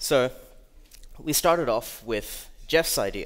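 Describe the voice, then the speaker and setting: Over a quiet background, a man with an Australian accent speaks with very wide pitch swings. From Australia, Melbourne. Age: 20s. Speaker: security researcher; conference speaker. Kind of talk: conference talk. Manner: casual. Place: hall.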